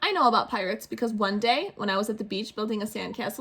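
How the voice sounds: The intonation is fairly even. It comes across as a natural reading voice.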